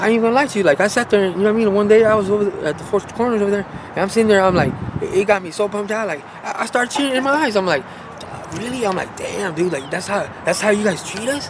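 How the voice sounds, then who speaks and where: Against noticeable background noise, a man with an American accent talks at a very fast pace, pitched high with ordinary variation. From Las Vegas, Nevada. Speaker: homeless man. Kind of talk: interview testimony. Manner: halting.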